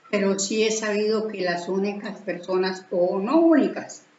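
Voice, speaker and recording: Over noticeable background noise, a woman speaks at a very slow pace. Her pitch is medium, with ordinary variation. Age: 70s. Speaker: spiritual teacher. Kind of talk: religious teaching talk. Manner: halting.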